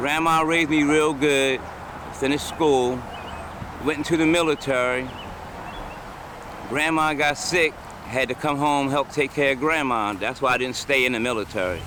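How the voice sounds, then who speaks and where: Against noticeable background noise, a man with a fairly high pitch and ordinary pitch variation speaks at a moderate pace, leaving long, frequent pauses. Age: 60s. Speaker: panhandling war veteran. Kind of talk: street interview. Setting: outdoors on a road median.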